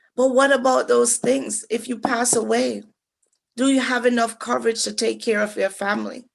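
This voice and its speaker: A woman with a Jamaican accent speaks at a moderate pace. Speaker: financial advisor. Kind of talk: financial workshop presentation.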